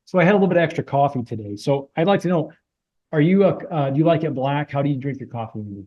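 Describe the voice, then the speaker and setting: At a very fast pace, a man speaks in a fairly high, somewhat breathy voice, animated in tone and lively in intonation. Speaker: podcast host. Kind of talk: casual interview chat. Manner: animated, high energy.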